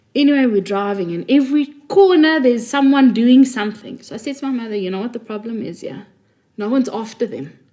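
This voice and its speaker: A high-pitched woman's very fast speech in a Johannesburg accent, with lively intonation and big swings in loudness. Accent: Johannesburg South African. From South Africa (Johannesburg, teens in Cape Town). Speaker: podcast co-host. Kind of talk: casual chat.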